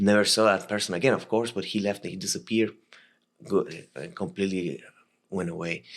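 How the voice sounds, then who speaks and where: On a very clean recording with a silent background, a man with a Latin American accent talks at a fairly quick pace in a fairly low pitch, with ordinary pitch variation and long, frequent pauses. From Costa Rica. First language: Spanish. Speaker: military veteran. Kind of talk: podcast interview storytelling. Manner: halting, many repetitions and fillers.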